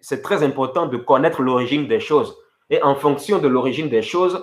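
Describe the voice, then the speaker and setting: With a fairly high pitch and lively intonation, a man talks on a very clean recording with a silent background. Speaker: evangelist preacher. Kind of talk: sermon.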